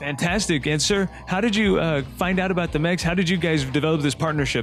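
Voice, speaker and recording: Very fast delivery with very even loudness and ordinary pitch variation. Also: man, fairly high pitch for a man. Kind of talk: casual host interview.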